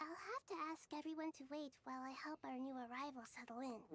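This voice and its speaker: Using a put-on character voice, a female-sounding speaker talks at a fairly quick pace in a warm, gentle tone with a high pitch. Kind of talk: game voice acting. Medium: video game. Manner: soft, warm, gentle.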